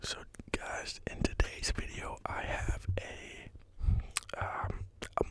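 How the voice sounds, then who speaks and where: A whisper in a relaxed tone comes through over noticeable background noise. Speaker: ASMR creator. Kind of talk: whispered ramble to camera, ASMR. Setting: home microphone recording. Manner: whispered, relaxed.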